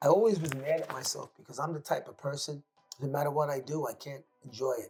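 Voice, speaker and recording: A man's very fast delivery in a New York accent, fairly high in pitch with ordinary pitch variation and big swings in loudness, with music in the background. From New York City. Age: 60s. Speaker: high school basketball coach. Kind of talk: interview. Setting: studio.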